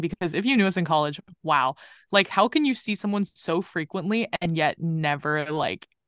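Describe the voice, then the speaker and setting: In a plain, everyday voice, a woman talks at a moderate pace with a fairly low pitch and ordinary pitch variation, recorded dry and close with no echo against a quiet background. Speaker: recent college graduate. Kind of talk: casual chat. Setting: video call.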